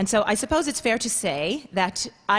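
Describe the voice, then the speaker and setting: A woman speaks with a New York accent and lively intonation. Her voice is somewhat breathy. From Queens, New York. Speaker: performer. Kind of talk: talk.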